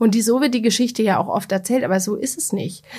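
Talking at a very fast pace, a woman has a dark, mellow tone, a somewhat breathy quality and ordinary pitch variation. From Bavaria, Germany (Bamberg). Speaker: media executive and author. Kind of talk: interview.

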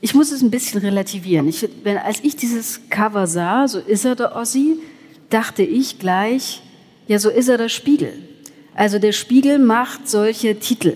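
With lively intonation, a woman speaks at a fairly high pitch and moderate pace in a somewhat breathy voice. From Saxony, Erzgebirge. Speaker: journalist. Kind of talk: live panel discussion. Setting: church with live audience.

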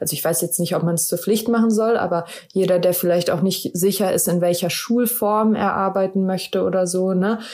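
Noticeable background noise accompanies speech delivered at a moderate pace with fairly even intonation. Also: woman. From Germany, Wuppertal. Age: 30s. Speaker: special education teacher. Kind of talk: interview.

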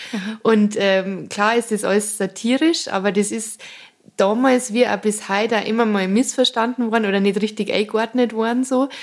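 A woman with a Bavarian accent talks at a moderate pace, her fairly high pitch following a fairly even intonation. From Munich suburb Aubing, Bavaria. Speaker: cabaret artist. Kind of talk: interview.

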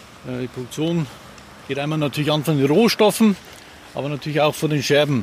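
A man talks at a fairly quick pace in a fairly high voice with ordinary pitch variation, and background noise is noticeable. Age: 50s. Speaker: glass plant manager. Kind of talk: interview during plant tour. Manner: hesitant, many fillers.

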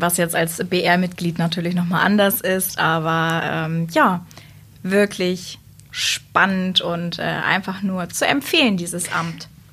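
At a very slow pace, a woman with a fairly low pitch speaks in a bright, sharp tone with fairly even intonation. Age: 20s. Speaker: works council member, former youth trainee representative. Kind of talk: casual interview.

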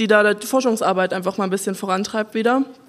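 Fairly high in pitch, a woman has an ordinary speaking voice with fairly even intonation. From Saxony, village near Dresden. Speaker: wood technology engineer. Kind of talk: panel talk at live event.

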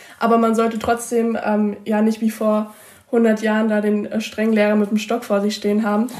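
The speaker holds a monotone, flat intonation at a moderate pace, with very even loudness throughout. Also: woman, fairly high pitch for a woman. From Mecklenburg-Vorpommern, Usedom. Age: young. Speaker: school student representative. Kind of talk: interview answers.

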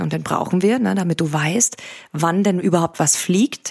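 A woman has an unremarkable speaking voice, fairly low in pitch with ordinary pitch variation. The sound is dry and close, with no echo. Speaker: meditation podcast host and coach. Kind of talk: guided meditation. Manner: slow, calm and soothing, with measured pauses.

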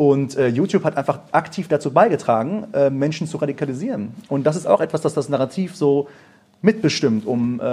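With lively intonation and a dark, mellow tone, a man speaks at a fairly quick pace in a fairly high, somewhat breathy voice. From Germany. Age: 20s. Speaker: musician and videographer. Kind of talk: live panel discussion. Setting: stage with audience.

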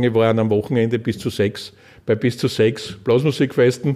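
Recorded very cleanly with a silent background, a man speaks at a medium pitch and moderate pace in a dark, mellow tone with fairly even intonation. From Styria, Austria (Leoben). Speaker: former state politician. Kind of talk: podcast interview. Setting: in-person interview.

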